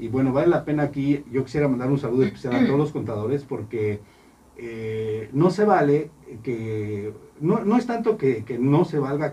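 A man's medium-pitched voice at a moderate pace, lively in intonation, over noticeable background noise. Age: 40s. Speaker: accountant. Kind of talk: radio interview. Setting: studio.

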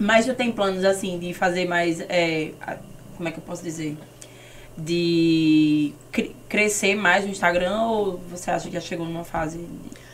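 Over noticeable background noise and audible room echo, a woman speaks at a fairly low pitch and a fairly slow pace. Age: young. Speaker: podcast host and influencer. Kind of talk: sponsor read; casual chat. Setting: studio. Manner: animated.

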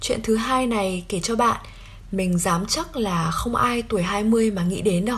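At a fairly slow pace, a woman with a plain, everyday voice speaks at a fairly high pitch with ordinary pitch variation. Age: 20s. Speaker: podcast host. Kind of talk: solo reflective podcast monologue.

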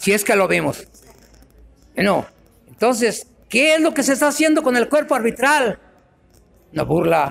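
A man speaks at an extremely high pitch with very wide pitch swings and very even loudness. His pace is fairly slow, broken by long, frequent pauses. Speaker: former footballer and referee. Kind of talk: panel discussion.

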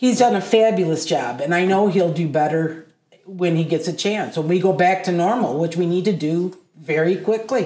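With an American accent, a woman speaks in a normal speaking voice, fairly low in pitch, at a moderate pace with ordinary pitch variation. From southeast Michigan. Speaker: podcast guest. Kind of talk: political discussion.

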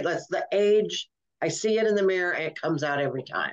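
Speaking at a fairly quick pace, a woman keeps a medium pitch with ordinary pitch variation. Hers is a normal speaking voice. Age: 60s. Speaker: podcast host and comedian. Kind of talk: casual interview chat.

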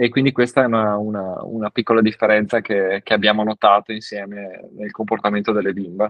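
A man talks with hardly any pauses at a fairly low pitch. His intonation is monotone and flat. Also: fairly quick pace. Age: 30s. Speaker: father and parenting social media creator. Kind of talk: casual chat. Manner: halting, with frequent repetitions.

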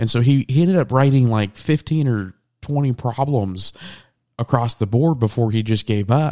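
Recorded with a dry, close sound and no echo, a man with an American accent and an unremarkable speaking voice talks at a moderate pace and medium pitch. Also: very clean recording, silent background. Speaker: podcast host. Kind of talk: casual chat. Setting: home studio, late at night. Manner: casual, joking.

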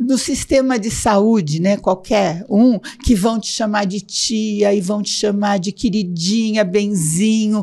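A woman speaks very slowly at a medium pitch. Her tone is dark and mellow, and somewhat breathy. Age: 70s. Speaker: psychologist and blogger. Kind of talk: casual interview.

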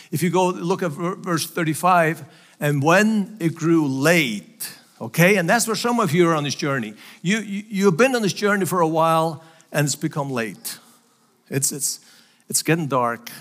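A man's high, lively voice at a moderate pace, with a Faroese accent, on a very clean recording with a silent background. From Faroe Islands. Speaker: missionary preacher. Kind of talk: sermon. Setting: church.

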